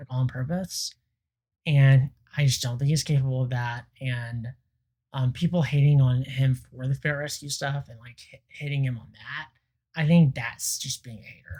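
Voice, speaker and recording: A quiet, somewhat breathy man with a dark, mellow tone, medium pitch, fairly even intonation and a moderate pace. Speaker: YouTube reaction creator. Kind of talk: reaction commentary.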